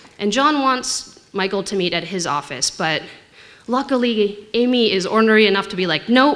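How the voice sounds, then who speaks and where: A woman with a Canadian accent speaks at a moderate pace with lively intonation over noticeable background noise. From Canada. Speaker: tech investor. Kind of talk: conference talk.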